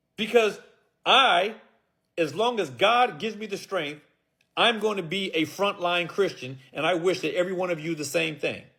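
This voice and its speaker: A man's bright, sharp, animated voice, high-pitched, raised and projected, at a moderate pace. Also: ordinary pitch variation. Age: 60s. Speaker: preacher. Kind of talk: sermon.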